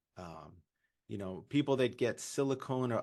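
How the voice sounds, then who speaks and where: In a Californian accent, a man talks at a moderate pace with lively intonation against a quiet background. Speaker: urologist. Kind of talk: webinar presentation.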